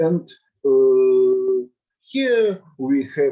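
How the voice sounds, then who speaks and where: A man speaks with a Russian accent. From Russia, Saint Petersburg. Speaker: mathematics teacher and lecturer. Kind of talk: lecture. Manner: halting.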